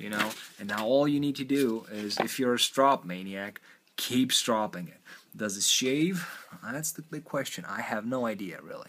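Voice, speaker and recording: Speaking with a non-native accent, a man shows big swings in loudness. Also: medium pitch for a man, lively intonation, moderate pace. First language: not English. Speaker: knife sharpening youtuber. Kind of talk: tutorial. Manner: casual, thinking aloud with fillers.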